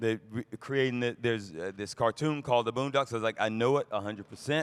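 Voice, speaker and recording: Recorded with a dry, close sound and no echo, a man speaks in a Southern US accent with fairly even intonation. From US South, Fayetteville, Georgia. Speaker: voice actor. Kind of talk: panel discussion. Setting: convention stage with audience.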